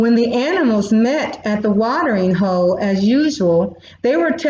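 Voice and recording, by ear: The voice is natural as it reads aloud. Its intonation stays lively.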